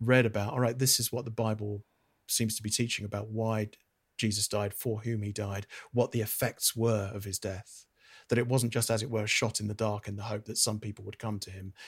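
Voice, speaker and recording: A man with a British accent, somewhat breathy, at a moderate pace and medium pitch. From Britain. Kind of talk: casual interview conversation. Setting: video call.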